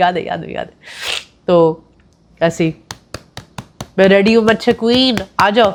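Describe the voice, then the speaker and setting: A woman is speaking. Her tone is animated. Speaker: vlogger. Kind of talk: casual vlog talk to camera. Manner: animated, repetitive.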